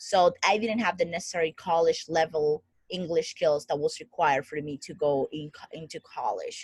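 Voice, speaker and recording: A somewhat breathy woman with a Spanish accent and a fairly low pitch, fairly even intonation, hardly any pauses, big swings in loudness, and a dry, close sound with no echo. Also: moderate pace. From Dominican Republic. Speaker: founder of a coaching group. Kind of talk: interview.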